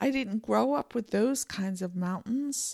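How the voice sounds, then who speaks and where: A woman with an American accent speaks fairly slowly in an unremarkable speaking voice. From Pennsylvania. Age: 50s. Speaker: podcast host. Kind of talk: solo podcast monologue. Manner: rambling, filler-heavy.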